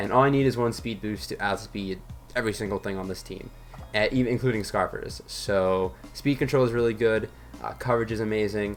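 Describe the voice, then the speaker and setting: Music plays in the background as a man talks at a fairly quick pace. His pitch is fairly low, with fairly even intonation. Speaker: gaming youtuber. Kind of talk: gameplay commentary. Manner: fast; frequent fillers.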